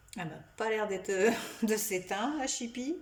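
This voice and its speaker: Speaking at a moderate pace, a woman with a fairly high voice is heard with audible room echo. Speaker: psychic medium. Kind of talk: tutorial. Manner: halting.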